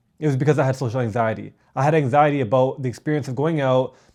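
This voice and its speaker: A man with a Canadian accent talks at a fairly quick pace. His fairly high pitch holds fairly even intonation. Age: 30s. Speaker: self-improvement vlogger. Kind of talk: personal vlog monologue. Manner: halting, many repeated words.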